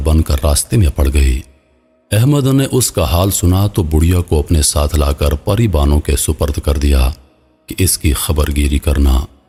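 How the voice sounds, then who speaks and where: Music plays behind a man with a very deep, low pitch. His pitch varies in an ordinary way. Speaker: voice actor. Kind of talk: story narration.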